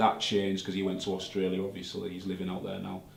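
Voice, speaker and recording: With a Hull accent, a man talks at a fairly quick pace and fairly low pitch, amid noticeable background noise and audible room echo. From northern England, Hull. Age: 20s. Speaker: rapper. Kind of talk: interview.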